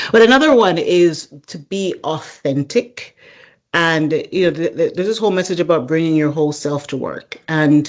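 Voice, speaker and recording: Speaking with an American accent, a woman uses lively intonation at a moderate pace and a fairly low pitch. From Jamaica. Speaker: supply chain executive and leadership coach. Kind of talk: interview.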